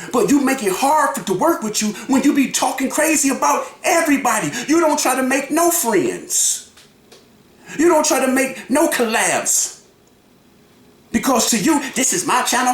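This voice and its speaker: A loud, animated man talks at a moderate pace with an extremely high pitch and ordinary pitch variation. Audible room echo surrounds his voice. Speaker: YouTube reaction vlogger. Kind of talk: reaction commentary.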